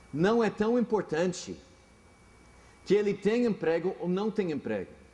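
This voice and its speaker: This man speaks in an English accent with a high pitch. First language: English (speaking Portuguese). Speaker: pastor. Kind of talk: sermon. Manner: halting.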